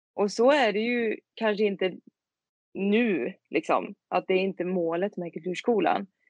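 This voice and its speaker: A woman with an ordinary speaking voice talks fairly slowly at a medium pitch with ordinary variation, in a dry, close sound with no echo. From Sweden, Tidaholm in Skaraborg. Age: 20s. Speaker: singer-songwriter. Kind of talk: interview.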